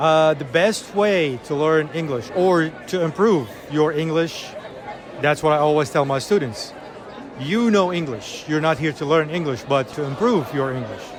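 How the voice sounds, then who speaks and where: Crowd noise and audible room echo surround a man with a fairly high voice. He speaks at a moderate pace with ordinary pitch variation. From Iraq. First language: Arabic. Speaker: English teacher. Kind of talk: conference interview.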